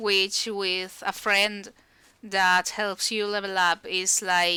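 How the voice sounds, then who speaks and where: A woman speaks with a Spanish accent and a bright, sharp tone. The recording is very clean, with a silent background. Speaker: video game streamer. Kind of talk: casual chat.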